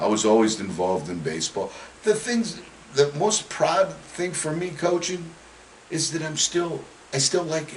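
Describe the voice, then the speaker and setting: A man with an American accent speaks in a high voice at a moderate pace with lively intonation, big swings in loudness and long, frequent pauses, over noticeable background noise. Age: 60s. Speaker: retired high school football coach. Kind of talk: interview.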